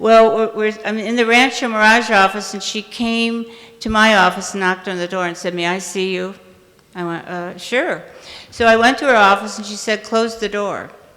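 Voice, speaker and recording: A woman with an American accent speaks at a fairly high pitch and a moderate pace, with fairly even intonation. Her loudness swings widely, and there is noticeable background noise. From US Midwest, Indiana. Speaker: recovery speaker. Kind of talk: testimony. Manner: halting, with repetitions and fillers.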